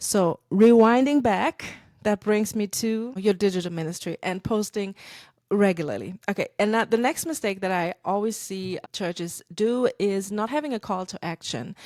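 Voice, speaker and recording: A medium-pitched woman's voice in a German accent, with ordinary pitch variation and a dry, close sound with no echo. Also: moderate pace, very clean recording, silent background. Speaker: podcast host, church marketing consultant. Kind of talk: podcast monologue. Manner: casual, conversational; halting with fillers.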